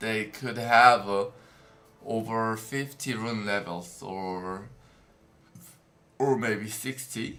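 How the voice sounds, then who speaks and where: Very slowly, a man with a Korean accent speaks at medium pitch in a bright, sharp tone, with audible room echo. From South Korea. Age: 20s. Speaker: game streamer. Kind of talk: live stream commentary. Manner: halting.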